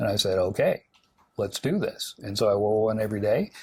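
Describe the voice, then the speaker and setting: A somewhat breathy man with an American accent. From US South, Alabama. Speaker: TV morning show host. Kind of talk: casual interview chat. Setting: TV studio. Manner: chatty storytelling with fillers.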